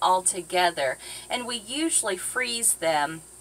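The speaker is female. She takes a fairly slow pace. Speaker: boating vlogger. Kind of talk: casual cooking vlog chat. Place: boat. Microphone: camera far.

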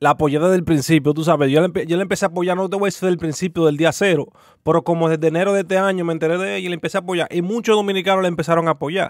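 A man speaks at a very fast pace with a high pitch and fairly even intonation. The background is quiet, and the sound is dry with no echo. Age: 20s. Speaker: youtuber reacting to clips. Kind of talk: casual commentary monologue. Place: home room. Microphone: studio mic.

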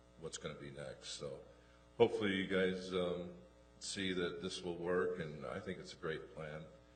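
This man's voice is very deep and low. Audible room echo and noticeable background noise surround it. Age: 60s. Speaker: farmer and property owner. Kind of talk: public comment at city council. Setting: city council meeting. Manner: halting.

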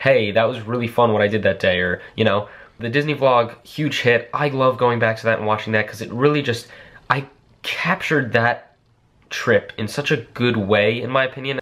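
His pitch moves in an ordinary way. The man keeps a moderate pace. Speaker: vlogger. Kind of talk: casual vlog chat. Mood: reflective, earnest. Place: home room. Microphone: phone near.

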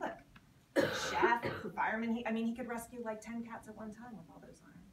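Audible room echo surrounds a woman talking at a moderate pace, her fairly high voice showing ordinary pitch variation.

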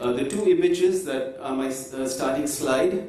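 A man at a moderate pace with ordinary pitch variation, in a room with audible echo. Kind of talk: conference presentation. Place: hall.

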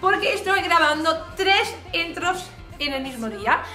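Over clear music in the background, a woman speaks in a raised, projected voice with audible room echo. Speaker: craft youtuber. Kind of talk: casual vlog chat. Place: home room.

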